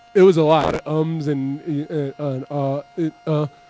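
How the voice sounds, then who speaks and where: Noticeable background noise sits under a man whose pitch is fairly high. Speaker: hip-hop radio show host. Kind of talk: live radio show talk. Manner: stuttering, halting.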